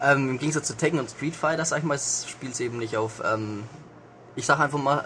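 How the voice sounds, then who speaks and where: Pitch varies in an ordinary way as the speaker talks at a fairly quick pace. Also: man. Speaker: intern at a games magazine. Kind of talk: casual game review.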